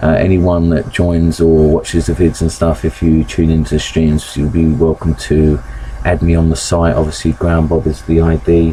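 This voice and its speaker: Mumbling in a very deep, low voice at very even loudness, a man speaks over noticeable background noise. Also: fairly even intonation, moderate pace. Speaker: gaming streamer. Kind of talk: live gameplay commentary. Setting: live stream. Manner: hesitant, many fillers.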